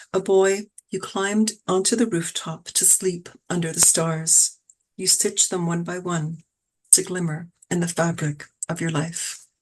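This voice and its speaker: Fairly low in pitch, a woman speaks at a fairly slow pace with fairly even intonation. Her voice is somewhat breathy. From Toronto, Canada. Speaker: poet. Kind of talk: poetry reading; casual chat. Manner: steady cadence.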